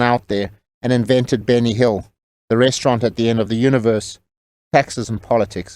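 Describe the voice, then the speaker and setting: A man speaks fairly quickly at a medium pitch in an ordinary speaking voice. The recording is very clean, with a silent background. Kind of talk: comedic audiobook narration.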